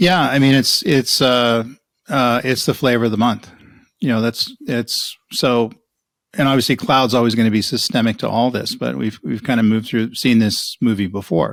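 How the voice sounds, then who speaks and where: An ordinary speaking voice from a man, moderately paced, medium-pitched, with ordinary pitch variation. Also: very clean recording, silent background. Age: 60s. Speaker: cloud strategy executive and author. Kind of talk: interview. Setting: podcast.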